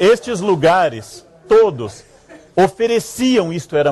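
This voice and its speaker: A man's dark, mellow voice with very wide swings in pitch. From Rio Grande do Sul, Brazil. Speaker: historian, lecturer. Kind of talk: public lecture. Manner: humorous, ironic.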